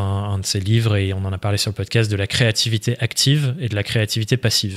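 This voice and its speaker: In a normal speaking voice, a man talks at a moderate pace with a fairly low pitch and fairly even intonation against a quiet background. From France, Dordogne. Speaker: online entrepreneur and trainer; trainer. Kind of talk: interview conversation. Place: studio. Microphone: studio mic.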